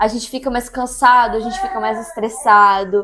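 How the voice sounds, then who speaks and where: A woman speaks with a high pitch. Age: 30s. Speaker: mom vlogger and ballet teacher. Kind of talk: casual Q&A vlog.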